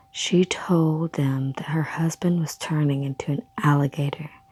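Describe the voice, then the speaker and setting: A soft-spoken woman talks at a fairly slow pace in a very deep, low pitch. Her intonation stays fairly even, and there is noticeable background noise. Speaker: ASMR creator. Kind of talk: ASMR story reading. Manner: soft-spoken, quiet.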